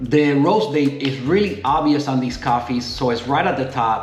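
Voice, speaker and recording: A fairly high-pitched man's voice with audible room echo and music in the background. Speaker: coffee reviewer. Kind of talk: casual product review. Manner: relaxed, conversational.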